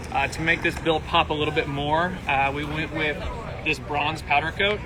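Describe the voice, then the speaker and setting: A man's fairly high voice in a monotone, flat delivery at a moderate pace, with noticeable background noise. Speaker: van builder giving a tour. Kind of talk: live walkthrough tour. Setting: outdoors at an expo, live stream.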